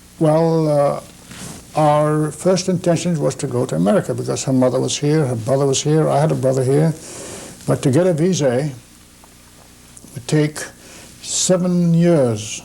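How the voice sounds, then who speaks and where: With noticeable background noise, a man speaks at a moderate pace and fairly high pitch, with ordinary pitch variation and long, frequent pauses. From Shanghai, China. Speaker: immigrant interviewee. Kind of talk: interview. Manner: halting.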